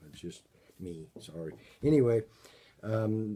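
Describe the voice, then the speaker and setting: This man's voice has a dark, mellow tone. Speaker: vlogger planning a charity bike ride. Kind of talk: casual video update. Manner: halting, many fillers.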